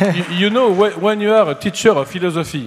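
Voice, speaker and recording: A man speaks at a moderate pace. He has a strong non-native accent. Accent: strong foreign accent in English. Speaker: philosophy teacher, speaker. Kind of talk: Q&A after a lecture. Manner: halting.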